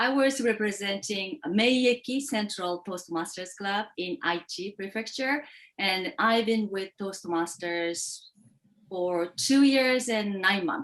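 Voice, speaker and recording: Woman with a Japanese accent, medium pitch, lively intonation and a very slow pace. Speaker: contest speaker. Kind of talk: interview. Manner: halting.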